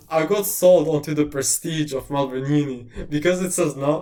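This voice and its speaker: This man's voice sits fairly high in pitch. He speaks with an Eastern European accent. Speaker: university tutor/presenter. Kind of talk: lecture Q&A. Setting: livestream. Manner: casual.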